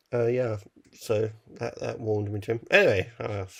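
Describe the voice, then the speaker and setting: A man with a medium-pitched, somewhat breathy voice and ordinary pitch variation, recorded very cleanly against a silent background. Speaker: film podcast co-host. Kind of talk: casual chat. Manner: halting.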